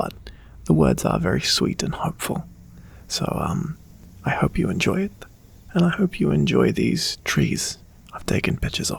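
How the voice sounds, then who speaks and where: Soft-spoken, a man talks with long, frequent pauses. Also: moderate pace. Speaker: ASMR creator. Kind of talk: casual talk to camera.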